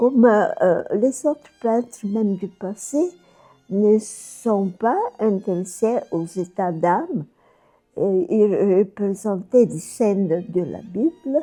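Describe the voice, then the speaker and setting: A woman with a Bulgarian accent speaks very slowly at a medium pitch, her intonation lively. Music plays in the background. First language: Bulgarian (speaking French). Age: 80s+. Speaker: painter. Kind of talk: documentary interview monologue. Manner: halting, many hesitations.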